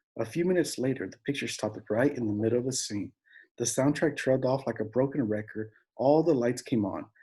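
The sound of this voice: The background stays quiet while someone reads in an unforced voice.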